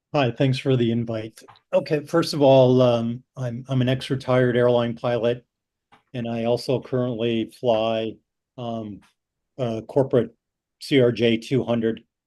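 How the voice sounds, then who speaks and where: Over a quiet background, a man with a dark, mellow tone speaks fairly slowly at medium pitch with fairly even intonation. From Wisconsin, US Midwest. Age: 60s. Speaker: retired airline pilot. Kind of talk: public meeting presentation. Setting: video call. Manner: halting, many fillers.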